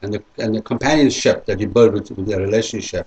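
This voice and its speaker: The man speaks at a very fast pace. His pitch is fairly low. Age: 60s. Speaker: interviewee, sales rep. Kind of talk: interview answers. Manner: hesitant, repetitive.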